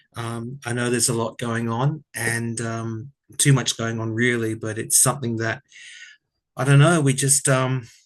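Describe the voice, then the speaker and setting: This man talks at a moderate pace with an Australian accent, a medium pitch and fairly even intonation. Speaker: tarot reader. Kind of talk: casual chat. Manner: soft-spoken.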